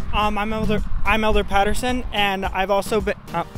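A man talks with a high pitch and fairly even intonation. Faint music plays in the background. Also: dry sound with no echo. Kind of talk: interview answer. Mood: friendly, smiling, slightly nervous. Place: street. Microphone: handheld.

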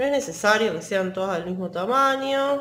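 With audible room echo, a woman speaks at medium pitch and a moderate pace, her fairly bright tone carrying lively intonation.

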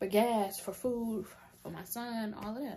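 A woman speaks in a dark, mellow tone that is somewhat breathy. Her pace is moderate. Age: 20s. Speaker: content creator. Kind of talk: casual storytime talk to camera. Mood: animated, exasperated storytelling. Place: home room. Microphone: phone near.

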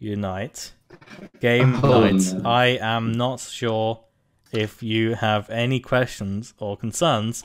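Music plays behind a man who speaks very slowly at a medium pitch with fairly even intonation. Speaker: podcast host. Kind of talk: casual chat. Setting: video call.

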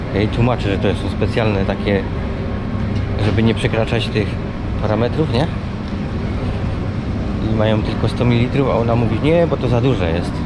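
Loud background noise sits behind a man speaking at a fairly quick pace. His pitch variation is ordinary. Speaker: travel vlogger. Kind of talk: casual vlog chat. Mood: mildly annoyed. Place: hall. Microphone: phone near.

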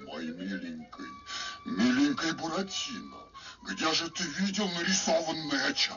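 Someone delivers a put-on character voice at a moderate pace. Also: man, high pitch for a man. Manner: menacing, greedy.

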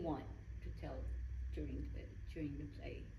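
A woman's voice with noticeable background noise. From Philippines. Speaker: writer and theatre director. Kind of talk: interview. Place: studio. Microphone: studio mic.

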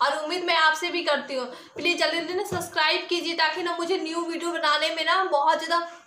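In an extremely high pitch, a woman projects a raised voice with monotone, flat intonation at a moderate pace and hardly any pauses, with audible room echo and light background noise. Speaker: vlogger. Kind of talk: casual vlog chat. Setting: at home. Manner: talkative. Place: home room. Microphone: phone near.

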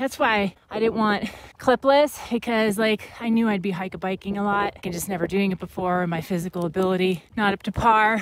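Heard in a dry sound with no echo, a woman keeps her intonation fairly even. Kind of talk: casual vlog chat. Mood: annoyed, joking. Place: open country. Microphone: phone near.

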